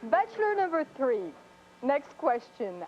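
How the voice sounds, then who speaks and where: A woman with a French accent and very wide pitch swings, amid noticeable background noise. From France. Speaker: dating show contestant. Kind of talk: game show questions.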